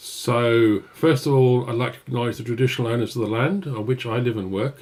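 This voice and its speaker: With a British accent, a man talks at a fairly quick pace at a medium pitch with ordinary pitch variation. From UK. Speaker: software developer advocate. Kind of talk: live-stream coding tutorial. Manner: hesitant, many fillers.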